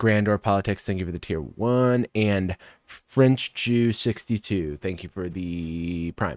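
Against a quiet background, a man talks at a very slow pace and a fairly low pitch with ordinary pitch variation, the sound dry with no echo. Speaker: live streamer reacting to a TV show. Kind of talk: casual live-stream commentary. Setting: live stream, playing a show. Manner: casual, laughs often. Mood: amused, laughing. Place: home room.

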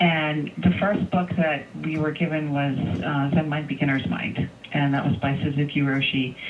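A woman with a very deep, low pitch, ordinary pitch variation and a moderate pace, over noticeable background noise. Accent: American. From US Northeast. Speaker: Zen teacher. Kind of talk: interview. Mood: warm, smiling, reflective. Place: home room. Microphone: video call.

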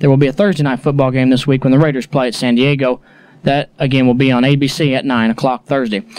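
A man speaks very fast at a medium pitch, with fairly even intonation and very even loudness, over a quiet background in a dry sound with no echo. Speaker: radio sports reporter. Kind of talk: 1980s radio sports report, scores read briskly. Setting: radio studio broadcast. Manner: brisk, businesslike, even-paced; formal, rattling off scores in a steady newsreader cadence. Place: studio.

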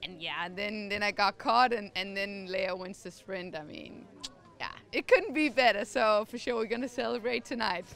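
The delivery moves at a moderate pace with ordinary pitch variation and big swings in loudness, in a dry sound with no echo and light background noise. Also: woman. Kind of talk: interview answer. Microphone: handheld.

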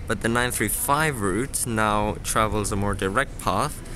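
A man is heard over noticeable background noise, the sound dry with no echo. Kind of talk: casual vlog commentary. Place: station. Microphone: phone near.

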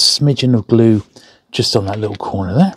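Over light background noise, a man talks at a fairly quick pace in a dry sound with no echo. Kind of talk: casual tutorial chat. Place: studio.

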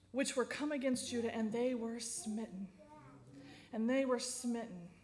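Audible echo from the room follows the woman's voice.

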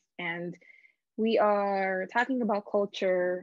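A woman speaks at a very slow pace. The sound is dry with no echo, and the background is quiet. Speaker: interviewee. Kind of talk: interview answer. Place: home room. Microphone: video call.

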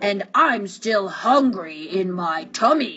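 A female-sounding voice bellows loudly in a put-on character voice at medium pitch. The pace is very slow. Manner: bellowing, loud.

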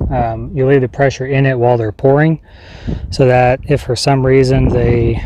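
At a moderate pace, a man talks over noticeable background noise in a dry sound with no echo. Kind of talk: tutorial. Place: open country. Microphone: phone near.

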